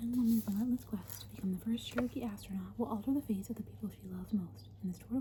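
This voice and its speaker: A woman talks at a very fast pace. Noticeable background noise sits behind her voice. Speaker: ASMR content creator. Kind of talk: reading a book jacket description aloud. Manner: soft-spoken, whispered.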